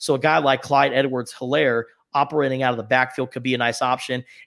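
Recorded very cleanly against a silent background, a man speaks at a fairly quick pace in an unremarkable speaking voice of medium pitch. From Arizona, Tucson. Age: 20s. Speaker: sports journalist and podcast co-host. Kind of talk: casual chat.

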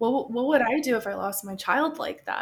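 Somewhat breathy, a woman talks with ordinary variation in her pitch. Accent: American. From Tucson, Arizona. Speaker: podcaster. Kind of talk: casual chat.

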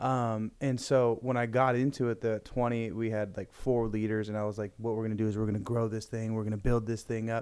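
Fairly quick and fairly even in intonation, a man speaks at a medium pitch. He has a plain, everyday voice. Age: 20s. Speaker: youth pastor. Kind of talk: casual chat.

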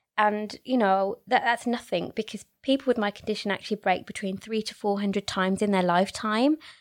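A woman's medium-pitched voice with a Birmingham accent, ordinary pitch variation, and a very clean recording over a silent background. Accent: Birmingham (Brummie) English. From Birmingham, England. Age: 30s. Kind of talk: casual interview.

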